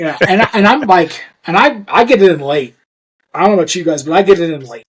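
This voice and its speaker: A man talks at a very fast pace in a high pitch, with big swings in loudness and lively intonation. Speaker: high school football defensive coordinator. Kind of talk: casual chat. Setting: podcast.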